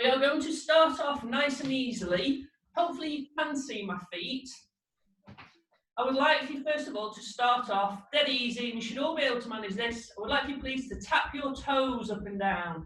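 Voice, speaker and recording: A woman with a high pitch speaks at a moderate pace amid audible room echo. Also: ordinary pitch variation, big swings in loudness. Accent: northern English. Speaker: fitness instructor. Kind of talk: exercise class instruction.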